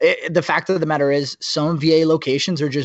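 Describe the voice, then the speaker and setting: A man speaks with a normal speaking voice. His pace is fairly quick. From New Jersey. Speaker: podcast host and Army veteran. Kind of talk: casual chat.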